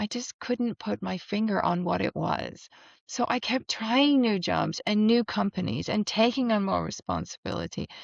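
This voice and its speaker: At a moderate pace, a woman speaks with an American accent, her voice dry and close with no echo against a quiet background. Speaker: spiritual coach and psychic medium. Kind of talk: personal introduction video.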